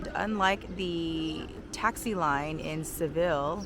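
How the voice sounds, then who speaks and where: A woman speaks at a fairly low pitch with ordinary pitch variation. There is audible room echo and noticeable background noise. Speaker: travel vlogger. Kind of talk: travel vlog. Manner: casual.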